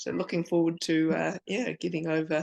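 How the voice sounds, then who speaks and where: A voice with a New Zealand accent is heard against a quiet background. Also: woman. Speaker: book club host. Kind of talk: casual chat.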